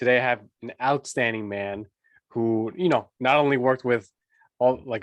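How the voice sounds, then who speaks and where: A man talks in a plain, everyday voice at medium pitch. His pace is moderate, his pitch variation ordinary, and the background quiet. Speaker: podcast host, fatherhood coach. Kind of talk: interview host talk.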